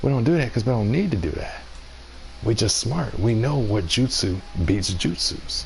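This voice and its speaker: Noticeable background noise and audible room echo surround a man's medium-pitched voice. He speaks at a moderate pace with lively intonation. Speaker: gaming streamer. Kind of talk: live stream commentary. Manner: soft-spoken, whispering.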